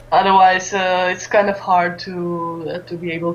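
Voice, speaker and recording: Over noticeable background noise, a woman with a Romanian accent speaks in a flat monotone at a fairly low pitch. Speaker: esports streamer and caster. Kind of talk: interview. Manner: halting, many fillers.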